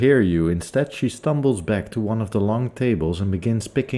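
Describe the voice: Lively intonation in a plain read-aloud delivery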